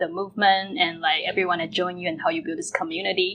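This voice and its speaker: A woman speaks at a medium pitch with a Chinese accent. Music plays in the background. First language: Mandarin Chinese. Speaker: podcast host. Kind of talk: interview.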